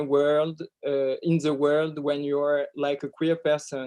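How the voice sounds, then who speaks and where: A man speaks with a French accent at a fairly slow pace. His voice sits fairly high. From France. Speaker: film director. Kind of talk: interview. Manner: halting.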